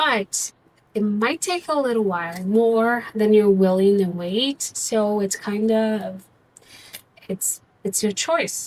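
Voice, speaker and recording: Speaking very slowly, a woman has a non-native accent. Her pitch is fairly high. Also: ordinary pitch variation. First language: not English. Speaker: tarot reader. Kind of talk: tarot reading. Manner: halting; casual.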